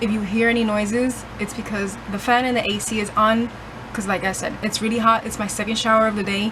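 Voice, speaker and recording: A woman talks at a fairly quick pace with a fairly high pitch and monotone, flat intonation, amid noticeable background noise and audible room echo. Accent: Puerto Rican. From Puerto Rico. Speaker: book vlogger. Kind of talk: casual vlog.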